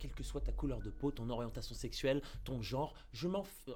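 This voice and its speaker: A man's speech moves at a moderate pace while music plays underneath. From Paris area, France. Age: 20s. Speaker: pop culture video creator. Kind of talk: interview testimony. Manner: halting, many repetitions and fillers.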